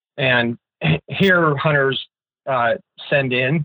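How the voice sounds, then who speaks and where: At a medium pitch for a man, he speaks with an American accent, his pitch shifting in a normal way. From Pennsylvania, US. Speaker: wildlife ecology professor. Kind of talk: educational interview.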